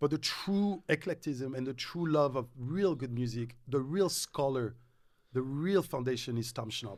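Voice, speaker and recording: On a very clean recording with a silent background, a man with a French accent speaks at a moderate pace with medium pitch and ordinary pitch variation. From Morocco and France. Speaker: radio DJ. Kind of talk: casual chat.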